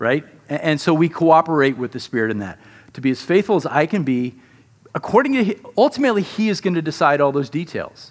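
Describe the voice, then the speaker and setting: At a fairly quick pace, a man with a fairly high pitch and an ordinary speaking voice talks with lively intonation. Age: 50s. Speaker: pastor. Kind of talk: sermon.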